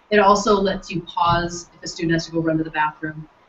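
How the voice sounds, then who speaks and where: A woman talks fairly quickly while noticeable noise sounds in the background. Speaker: software trainer. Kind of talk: workshop training session. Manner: fast.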